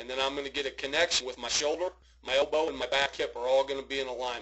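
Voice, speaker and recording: Fairly high for a man, the speaker's normal speaking voice holds fairly even intonation. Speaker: baseball hitting coach. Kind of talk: video swing analysis for a young player. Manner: casual, instructive.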